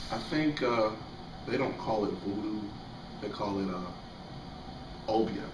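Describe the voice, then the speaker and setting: Amid noticeable background noise and audible room echo, a man speaks at a very slow pace and a fairly low pitch, with ordinary pitch variation and long, frequent pauses. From Jamaica. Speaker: interviewee. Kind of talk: interview. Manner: halting.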